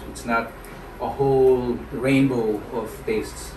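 A man talks with ordinary pitch variation, and noticeable background noise runs underneath. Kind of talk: casual cooking explanation. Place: kitchen. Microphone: phone near.

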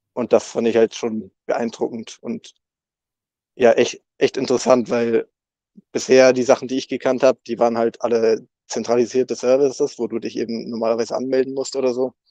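Over a quiet background, a man speaks in a dark, mellow tone with monotone, flat intonation and a dry sound with no echo. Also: medium pitch for a man, moderate pace. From northern Germany, near Rostock. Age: 20s. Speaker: software developer at a crypto foundation. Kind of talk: casual interview. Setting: online voice chat. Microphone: video call.

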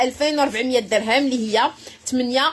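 A woman speaks with a Moroccan accent. Light background noise is present. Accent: Moroccan Darija with French loanwords. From Morocco. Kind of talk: live-stream sales pitch. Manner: animated. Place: shop. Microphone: phone near.

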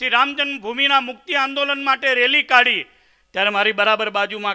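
Over a quiet background, a man projects a raised voice with a bright, sharp tone and ordinary pitch variation. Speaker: speaker. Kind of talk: religious address. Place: stage. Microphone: podium.

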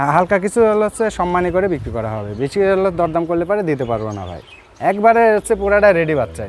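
Speaking at a high pitch, a man lets his voice swing very widely up and down. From Bangladesh, Pabna district. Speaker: cattle farmer and heifer trader. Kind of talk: sales pitch.

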